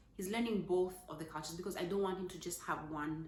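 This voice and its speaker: A woman talks with fairly even intonation in a fairly low pitch. Audible room echo surrounds her voice. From Zambia. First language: Zambian language, not English. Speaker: parenting vlogger. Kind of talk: casual talk to camera. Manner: halting, with fillers.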